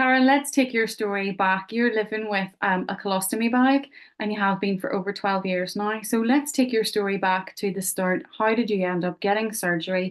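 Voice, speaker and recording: Against a quiet background, a woman with a Belfast accent speaks at a moderate pace and medium pitch, with ordinary pitch variation and hardly any pauses. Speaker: podcast host. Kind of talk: interview.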